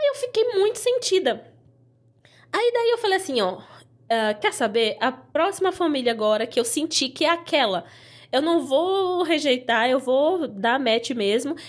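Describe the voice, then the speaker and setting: A woman's high-pitched voice at a fairly slow pace, with very wide pitch swings and very even loudness. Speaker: former au pair. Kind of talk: casual chat. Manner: animated.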